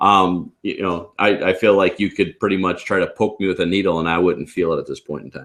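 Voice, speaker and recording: The background is quiet. A man talks at a fairly quick pace in a very deep, low pitch. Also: hardly any pauses. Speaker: realtor and trainer; trainer. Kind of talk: casual chat. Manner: animated. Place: home room. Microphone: video call.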